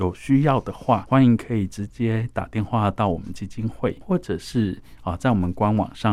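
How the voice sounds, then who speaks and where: In a very clean recording with a silent background, a man talks at a moderate pace with a fairly low pitch. His is an ordinary speaking voice, with ordinary pitch variation. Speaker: foundation director. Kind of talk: radio interview.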